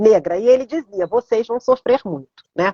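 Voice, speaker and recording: A woman's high-pitched voice carries lively intonation at a moderate pace. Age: 70s. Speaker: art therapist. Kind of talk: live stream conversation.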